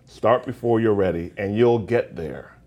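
A man with a fairly low pitch speaks at a moderate pace in a normal speaking voice. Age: 40s. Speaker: entrepreneur and notary business coach. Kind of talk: casual interview. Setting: studio.

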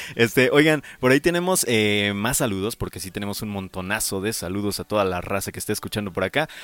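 A man talks at a very fast pace with lively intonation. He takes hardly any pauses. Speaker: metal radio show host. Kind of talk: casual chat. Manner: stumbling over words.

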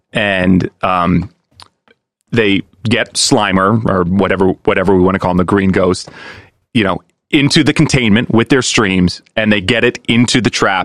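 A man is talking in a normal speaking voice. He keeps a moderate pace. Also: fairly low pitch for a man, ordinary pitch variation. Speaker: guest, friend and business partner of host. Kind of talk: casual podcast chat.

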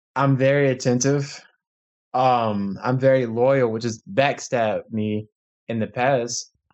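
A man's medium-pitched voice with an American accent, a fairly slow pace and fairly even intonation. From Virginia, Chesapeake. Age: 20s. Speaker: caller seeking relationship advice. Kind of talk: casual chat. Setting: phone call.

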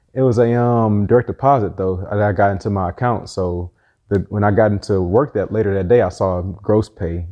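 A man with a normal speaking voice, fairly low in pitch, at a fairly quick pace with fairly even intonation. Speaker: entrepreneur and car rental business owner. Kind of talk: casual interview chat.

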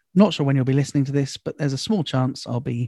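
A man with an English accent has a dark, mellow tone on a very clean recording with a silent background. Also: dry, close sound with no echo. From England. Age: 20s. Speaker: comedian. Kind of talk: casual chat.

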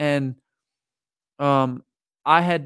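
Here a man speaks with an American accent and fairly even intonation. The sound is dry and close with no echo, on a very clean recording with a silent background. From Lancaster County, Pennsylvania, US. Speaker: singer-songwriter. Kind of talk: casual interview chat. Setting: studio.

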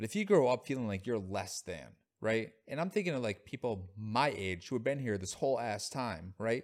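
Over a very clean recording with a silent background, a man with an American accent speaks at a moderate pace. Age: 30s. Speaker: podcast co-host. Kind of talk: casual chat.

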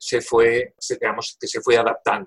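A man at a fairly slow pace, somewhat breathy, with a dry, close sound and no echo. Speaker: professor emeritus of environmental engineering. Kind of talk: interview.

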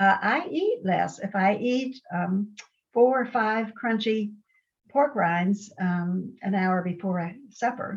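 Very slowly, a woman speaks at a medium pitch with ordinary pitch variation. Her voice is somewhat breathy. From Ohio and Pittsburgh, US. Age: 80s. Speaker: guest retired nurse, intermittent faster. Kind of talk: casual interview storytelling. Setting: video call.

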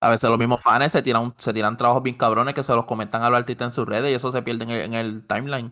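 Over a silent background in a very clean recording, a man with a medium-pitched, bright, sharp tone speaks very fast in a flat monotone with hardly any pauses. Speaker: podcast co-host. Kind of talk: casual chat.

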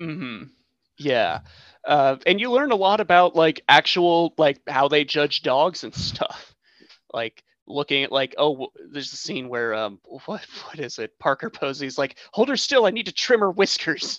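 In an American accent, a man talks at a fairly slow pace with lively intonation. He has a normal speaking voice, fairly high in pitch. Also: big swings in loudness. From United States. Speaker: podcast guest host. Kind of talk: casual chat.

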